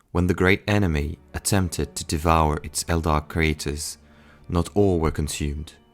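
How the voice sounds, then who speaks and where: Over music in the background, a man with a non-native accent speaks in a very deep, low pitch with fairly even intonation. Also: moderate pace. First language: not English. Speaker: lore narrator. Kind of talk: reading a book passage aloud.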